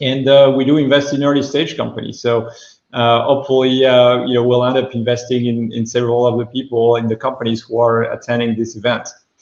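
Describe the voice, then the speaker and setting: A man speaks at a very fast pace with a French accent. His intonation stays monotone and flat. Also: medium pitch for a man. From France. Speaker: venture capital investor. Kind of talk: fireside chat interview. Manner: halting, many fillers.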